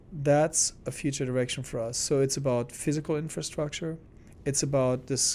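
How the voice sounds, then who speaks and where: A man with a German accent speaks fairly quickly at a medium pitch, his tone dark and mellow. His intonation stays fairly even on a very clean recording with a silent background. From Germany, small town. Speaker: arts organization executive. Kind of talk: interview.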